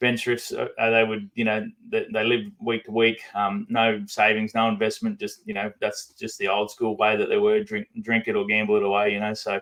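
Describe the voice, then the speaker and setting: A man with a strong Australian accent talks with hardly any pauses. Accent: broad Australian. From central Queensland, Australia. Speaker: activist and former coal miner. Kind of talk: podcast interview. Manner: fast; halting, many fillers.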